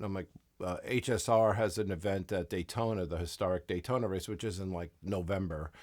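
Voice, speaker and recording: Someone with a New York accent speaks at a moderate pace with ordinary pitch variation on a very clean recording with a silent background. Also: man. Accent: New York accent (jokingly called Southern). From US Northeast, Long Island, New York. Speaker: racing crew chief. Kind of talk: casual interview chat. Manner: many fillers and false starts.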